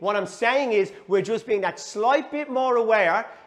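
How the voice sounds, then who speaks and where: A man with a high pitch, an intense tone and a Dublin accent. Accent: Dublin Irish. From Swords, Dublin, Ireland. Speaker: football coach. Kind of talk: half-time team talk. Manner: intense, fired-up.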